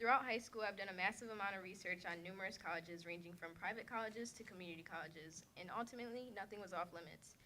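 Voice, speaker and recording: A woman's shaky, medium-pitched voice with an American accent, ordinary pitch variation and a very fast pace. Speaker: community college student. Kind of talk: prepared speech.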